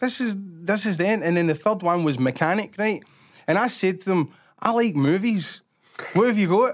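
A man with a Glaswegian accent speaks at a moderate pace in a high voice with ordinary pitch variation and very even loudness, on a very clean recording with a silent background. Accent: Glaswegian Scottish. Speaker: podcast host. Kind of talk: casual chat.

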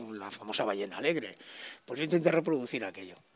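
A man speaks with lively intonation in a plain, everyday voice. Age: 50s. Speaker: sound technician and musician. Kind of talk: interview.

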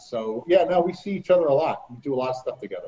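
Somewhat breathy and fairly quick, this voice carries an American accent. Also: man. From New Jersey. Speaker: author and former amusement park lifeguard. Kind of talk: interview.

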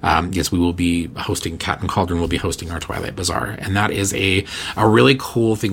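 A man's fairly quick speech, delivered with fairly even intonation, comes through noticeable background noise. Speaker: podcast host and witchcraft teacher. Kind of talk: casual solo chat. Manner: rambling with fillers.

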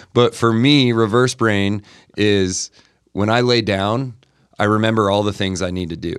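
An unremarkable speaking voice from a man with an American accent, fairly low in pitch, at a moderate pace with fairly even intonation. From Montana. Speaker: basketball skills trainer. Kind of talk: casual chat.

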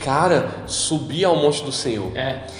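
Speaking at a fairly slow pace with ordinary pitch variation, a man is heard amid audible room echo and noticeable background noise. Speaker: podcast host. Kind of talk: casual chat. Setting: parents' house.

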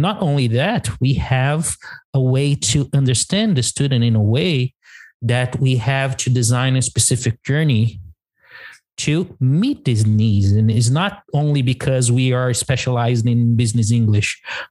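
Somewhat breathy, a man speaks at a medium pitch and a fairly slow pace, with ordinary pitch variation and very even loudness. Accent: Portuguese. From Brazil. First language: Portuguese. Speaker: English teacher and podcast co-host. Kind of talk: casual chat.

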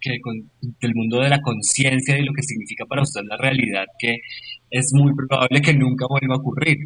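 Moderate pace and fairly even intonation from a man with a plain, everyday voice, pitched in the medium range. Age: 40s. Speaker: yoga teacher and university lecturer. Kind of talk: casual chat.

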